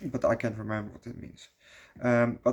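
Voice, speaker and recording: This voice belongs to a man with a medium pitch. He talks at a moderate pace. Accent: Dutch. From Netherlands. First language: Dutch. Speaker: movie reviewer. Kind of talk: casual video review. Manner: halting, many fillers.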